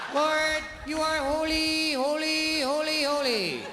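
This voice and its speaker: A strained, put-on character voice is heard over loud background noise. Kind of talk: sermon delivery. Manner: mocking, droning.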